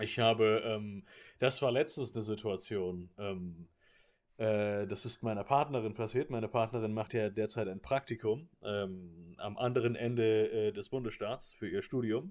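On a very clean recording with a silent background, a man speaks at a fairly slow pace in a plain, everyday voice with a fairly low pitch. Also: ordinary pitch variation. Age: 20s. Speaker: podcast co-host. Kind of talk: casual chat.

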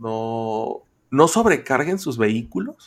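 A man speaks at medium pitch. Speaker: podcast host. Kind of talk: casual chat. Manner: animated.

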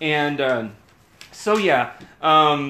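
Over noticeable background noise, a man speaks in a raised, projected voice with lively intonation and an animated tone. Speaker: podcast co-host. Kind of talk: casual chat.

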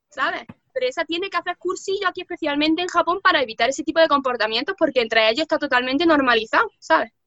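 Speaking very fast in a raised, projected voice, a woman sounds high-pitched, bright and sharp, her intonation lively, and the sound is dry and close with no echo. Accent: Andalusian. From Andalusia, Córdoba (southern Spain). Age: 20s. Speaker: translator and interpreter living in Japan. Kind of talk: casual interview chat. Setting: video call.

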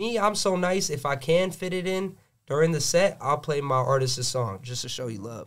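On a very clean recording with a silent background, a man with an American accent and an unremarkable speaking voice talks at a moderate pace, fairly high in pitch, with lively intonation. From Gwinnett, Georgia, US. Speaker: DJ. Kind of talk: casual chat.

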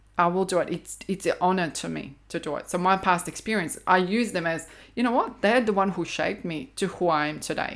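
In a very clean recording with a silent background, a woman with a Croatian accent speaks at a fairly quick pace. Her pitch is medium with ordinary variation, and she hardly pauses. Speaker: intuitive counselor. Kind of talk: interview conversation.

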